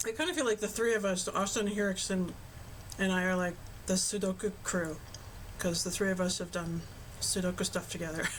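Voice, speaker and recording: A woman with a somewhat breathy voice talks at a fairly quick pace but leaves long, frequent pauses. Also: medium pitch for a woman, fairly even intonation. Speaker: video game streamer. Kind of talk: casual livestream chat with viewers. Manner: casual, chatty.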